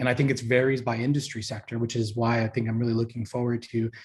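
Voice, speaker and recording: Speaking at a very fast pace with an American accent, a man of medium pitch sounds somewhat breathy, his intonation fairly even. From New York, Long Island. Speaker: university career education leader. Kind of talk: presentation.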